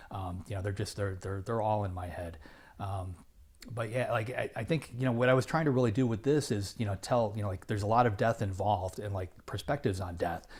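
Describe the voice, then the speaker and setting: Somewhat breathy, a man talks at a fairly quick pace. His pitch is fairly low, with ordinary variation. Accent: American. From Illinois, US Midwest. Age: 50s. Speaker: novelist. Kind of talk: interview. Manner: halting, many fillers and repeats.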